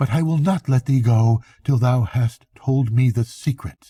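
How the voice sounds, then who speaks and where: A man puts on a character voice at a medium pitch. His pace is moderate. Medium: read story.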